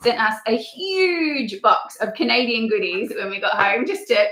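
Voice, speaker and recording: A woman with an Australian accent speaks at a fairly high pitch over music in the background. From rural Australia. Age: 30s. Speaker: travel vlogger. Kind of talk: casual chat. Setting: livestream.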